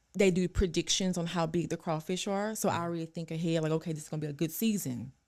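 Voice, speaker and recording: Speaking at a very fast pace in a Louisiana accent, a woman has an animated tone, a fairly low pitch and ordinary pitch variation. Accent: Southern US, Louisiana. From North Louisiana, Ruston. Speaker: registered dietitian. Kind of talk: casual chat.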